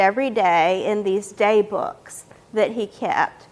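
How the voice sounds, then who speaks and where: Noticeable background noise accompanies a woman talking with an American accent. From western North Carolina. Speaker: author and librarian. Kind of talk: public talk.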